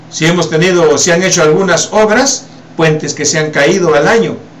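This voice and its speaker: Over noticeable background noise and audible room echo, a man with a fairly high pitch talks at a fairly slow pace, his tone animated and his intonation lively. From Peru. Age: 60s. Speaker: political commentator. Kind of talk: political commentary.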